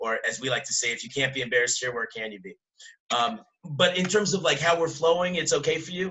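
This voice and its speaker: A man speaks very fast in a fairly high voice, his intonation lively. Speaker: rabbi teaching a Torah class. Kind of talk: lecture.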